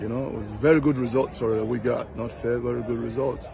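Over crowd noise in the background, a man talks at a fairly quick pace with fairly even intonation, the sound dry with no echo. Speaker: football coach. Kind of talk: interview answer. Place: stadium. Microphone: phone near.

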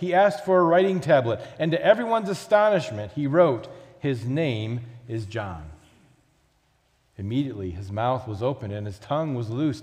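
Somewhat breathy, a man speaks at a moderate pace with big swings in loudness and very wide pitch swings. The background is quiet. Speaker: pastor. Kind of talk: scripture reading and prayer. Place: church.

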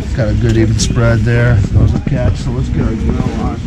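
Through loud background noise, a man speaks with ordinary pitch variation. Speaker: vlog host. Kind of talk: casual vlog chat. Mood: relaxed, jokey. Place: garage. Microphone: phone near.

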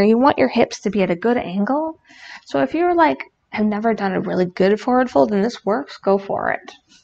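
A woman speaks at a fairly quick pace in a warm, playful tone. Her pitch swings very widely. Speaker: yoga instructor and streamer. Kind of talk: guided yoga instruction, calm cues with playful jokes. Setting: live stream with chat. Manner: warm, playful, laughs at her own jokes. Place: home room.

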